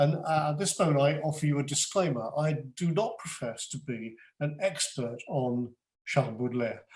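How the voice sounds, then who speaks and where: A man speaks at a moderate pace in a fairly high pitch, somewhat breathy, with ordinary pitch variation. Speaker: retired headmaster and French teacher. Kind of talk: lecture. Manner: halting.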